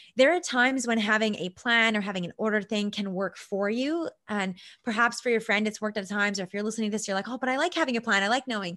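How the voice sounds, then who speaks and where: A woman with a Canadian accent speaks at a very fast pace with hardly any pauses. Her voice is fairly high, bright and sharp, with ordinary pitch variation over a quiet background. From Canada, Vancouver Island. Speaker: success coach. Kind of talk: interview.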